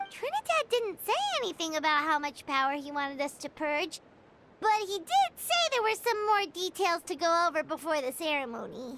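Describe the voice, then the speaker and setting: This put-on character voice has an extremely high pitch and a moderate pace. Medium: video game. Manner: excitable, earnest.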